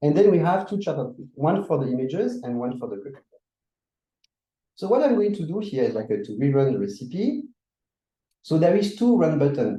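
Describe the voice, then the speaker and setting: With a French accent and a dark, mellow tone, a man talks at a fairly quick pace, somewhat breathy, with very wide pitch swings. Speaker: workshop presenter. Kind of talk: tutorial.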